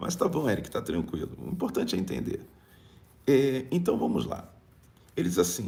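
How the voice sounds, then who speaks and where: Audible room echo surrounds a man whose voice has vocal fry and very wide pitch swings. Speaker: bishop and preacher. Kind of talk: live-streamed prayer meeting and preaching with chat reading. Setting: live stream.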